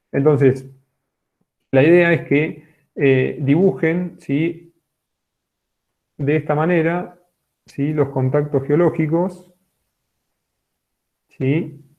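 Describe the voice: Slowly and with long, frequent pauses, a man with a fairly high pitch speaks in fairly even intonation.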